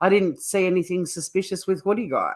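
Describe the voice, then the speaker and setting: On a very clean recording with a silent background, a woman speaks at a fairly quick pace. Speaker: true crime streamer, former criminal lawyer. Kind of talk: live stream commentary. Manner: casual, chatty.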